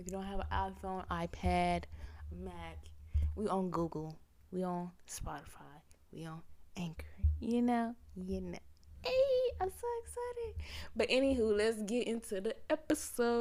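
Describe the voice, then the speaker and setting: Talking at a fairly slow pace, a woman leaves long, frequent pauses while her loudness swings widely. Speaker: podcast host. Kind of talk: casual podcast monologue. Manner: animated, conversational.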